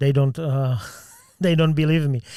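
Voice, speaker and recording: A man with a Czech accent, fairly high pitch and a dark, mellow tone, his intonation fairly even, in a dry, close sound with no echo. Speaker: podcast host. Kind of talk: casual interview. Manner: halting.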